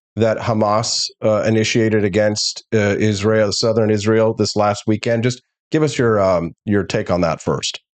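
A man with an American accent and an unremarkable speaking voice talks at a fairly low pitch and a moderate pace, with fairly even intonation and hardly any pauses. His loudness stays very even against a quiet background. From Missouri (rural, Peculiar). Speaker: talk show host. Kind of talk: casual talk show. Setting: studio.

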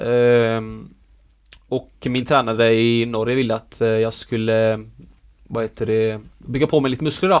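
Someone with a plain, everyday voice speaks at a fairly slow pace with fairly even intonation. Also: man, medium pitch for a man. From Sweden. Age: 20s. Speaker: professional dancer. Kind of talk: interview.

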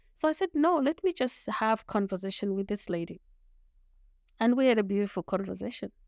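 A woman with a Zimbabwean accent speaks at a fairly quick pace in a fairly high voice with lively intonation. The recording is very clean with a silent background and a dry, close sound with no echo. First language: Shona. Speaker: lawyer, leadership coach and author. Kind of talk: interview.

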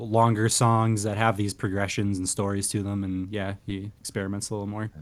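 In a Canadian accent, a man talks at a moderate pace with a fairly low pitch and an ordinary speaking voice. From Canada. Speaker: podcast host. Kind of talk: casual chat about music.

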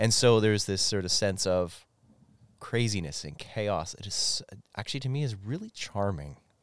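In a very clean recording with a silent background, a man speaks at a moderate pace in a fairly low pitch with ordinary pitch variation and an ordinary speaking voice. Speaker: guest who does community work with newcomers. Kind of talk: casual chat.

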